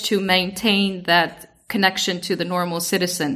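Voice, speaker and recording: Her bright, sharp tone comes through as a woman speaks with an Icelandic accent. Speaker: podcast co-host, former EU institution expert. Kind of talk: casual podcast discussion.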